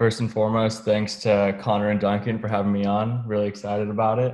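Against a quiet background, a man speaks in a fairly low pitch. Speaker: college student and football intern. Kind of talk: casual sports chat. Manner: hesitant, many fillers.

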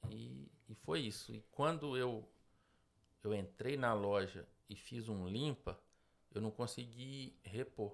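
A very slow delivery in a Minas Gerais accent, with ordinary pitch variation. Long pauses come often. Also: man, fairly low pitch for a man. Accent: Brazilian Portuguese, mineiro. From Minas Gerais, Brazil. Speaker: business owner. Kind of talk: interview. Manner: halting.

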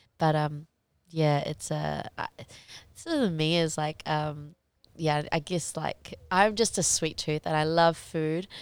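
A woman's very deep, low voice in a New Zealand accent, with fairly even intonation. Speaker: professional MMA fighter. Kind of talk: casual interview.

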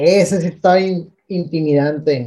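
Pitched high, a man speaks with a dark, mellow tone. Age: 30s. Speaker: podcast co-host. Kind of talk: casual chat. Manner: halting.

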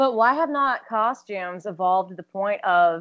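This woman has a plain, everyday voice at a medium pitch. Her intonation is lively. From Texas. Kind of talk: casual chat.

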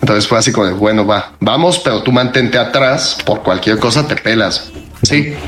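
A man with a Mexican accent, medium-pitched, lively in intonation, at a moderate pace with hardly any pauses, amid audible room echo and noticeable background noise. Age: 30s. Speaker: podcast co-host. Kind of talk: casual chat.

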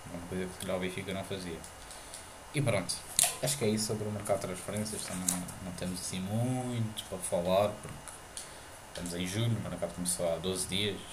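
A man's very deep, low voice, fairly quick yet with long, frequent pauses and fairly even intonation, amid noticeable background noise and audible room echo. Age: 20s. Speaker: podcast host. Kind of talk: casual chat. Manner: halting.

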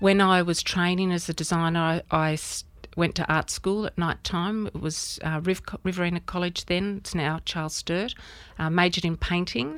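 A woman speaks in an Australian accent at a fairly low pitch. The recording is very clean, with a silent background. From Australia, rural New South Wales near Albury. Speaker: artist. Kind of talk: interview.

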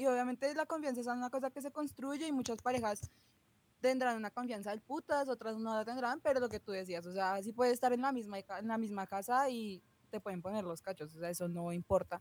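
High-pitched female voice with a Bogotá accent, fairly quick and lively in intonation. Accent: Bogotá Colombian. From Bogotá, Colombia. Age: 20s. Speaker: chemistry student. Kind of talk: casual chat.

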